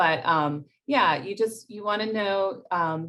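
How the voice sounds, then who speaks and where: This woman has an unremarkable speaking voice, pitched at a medium level, with ordinary pitch variation. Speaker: grant writing workshop presenter. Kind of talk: workshop presentation.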